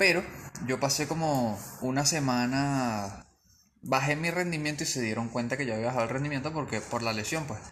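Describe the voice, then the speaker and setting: Using ordinary pitch variation, the speaker has an unremarkable speaking voice. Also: man. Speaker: physiotherapist. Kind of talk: interview.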